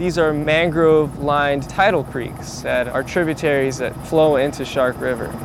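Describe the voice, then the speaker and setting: Amid noticeable background noise and audible room echo, a man with a fairly high pitch and an American accent speaks with hardly any pauses. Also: fairly even intonation, moderate pace. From South Florida. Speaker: park hydrology technician. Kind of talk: field explainer interview. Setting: outdoors in the marsh.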